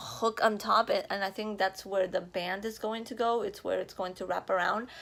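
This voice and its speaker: In a very clean recording with a silent background, a woman with a slight Spanish accent speaks at medium pitch with fairly even intonation. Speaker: vlogger. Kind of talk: casual vlog. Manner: casual, filler-heavy.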